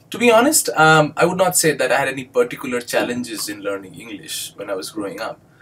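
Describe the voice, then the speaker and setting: With an Indian accent, a man races along at a very fast pace with hardly any pauses, his pitch swinging very widely and his loudness rising and falling sharply. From India (Bengali-speaking). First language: Bengali. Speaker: doctoral student and English instructor. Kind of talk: educational video monologue. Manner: hesitant, many fillers.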